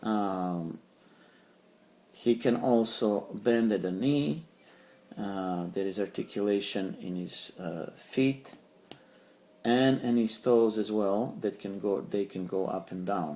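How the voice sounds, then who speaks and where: A man with a Serbian accent speaks at a very slow pace, with long, frequent pauses. His tone is dark and mellow, with ordinary pitch variation. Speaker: toy collector YouTuber. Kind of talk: product review. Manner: halting, many fillers.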